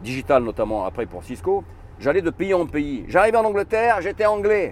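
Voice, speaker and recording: A man speaks with very wide pitch swings. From Egypt. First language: Arabic (speaking French). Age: 60s. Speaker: author and consultant. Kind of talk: interview.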